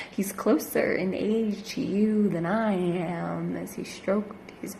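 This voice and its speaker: The speech comes at a very slow pace with hardly any pauses. Noticeable background noise runs underneath. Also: woman. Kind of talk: slam poetry performance.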